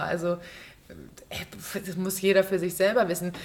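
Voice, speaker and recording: Noticeable background noise sits behind this woman's voice. She speaks at a fairly slow pace and a medium pitch. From Berlin, Germany. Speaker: stage actress and musical performer. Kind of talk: casual interview chat. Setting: theater.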